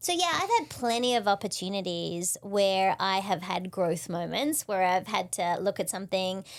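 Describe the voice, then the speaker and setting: This is a very clean recording with a silent background. A woman at medium pitch talks with hardly any pauses and very even loudness. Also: ordinary pitch variation, moderate pace. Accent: Australian. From Australia. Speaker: leadership and client experience speaker. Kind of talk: podcast interview.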